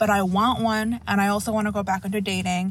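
The speech moves at a fairly quick pace, with noticeable background noise present. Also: woman. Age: 20s. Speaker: listener caller. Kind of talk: voicemail story.

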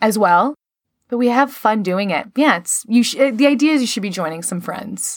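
Speaking with an American accent, a woman has a normal speaking voice, a moderate pace and lively intonation. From Chicago. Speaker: actor, comedian and podcast host. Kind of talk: casual chat.

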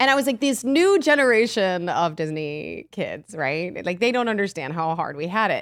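The recording is very clean, with a silent background. A woman of medium pitch speaks with hardly any pauses and very wide pitch swings. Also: moderate pace. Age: 30s. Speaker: podcast co-host and actress. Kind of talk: casual chat.

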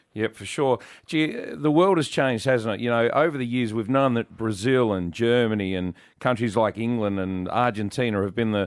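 On a very clean recording with a silent background, a man in an Australian accent talks at a medium pitch and a fairly quick pace, with ordinary pitch variation. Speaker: radio host. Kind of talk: casual banter on a radio show. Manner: jokey.

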